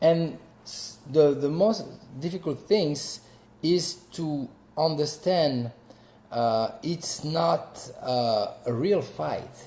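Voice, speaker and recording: A man with a French accent, fairly high-pitched, very slow, with ordinary pitch variation and big swings in loudness. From France. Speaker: actor and martial artist. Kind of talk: interview. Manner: halting.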